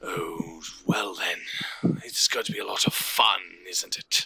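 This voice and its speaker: A man puts on a raspy character voice. His delivery moves at a fairly slow pace. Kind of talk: elegant. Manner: smooth, amused.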